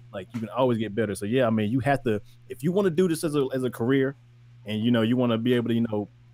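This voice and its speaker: A man at medium pitch talks at a very fast pace with ordinary pitch variation. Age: 20s. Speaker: music producer. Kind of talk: casual podcast chat. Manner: halting, repetitive.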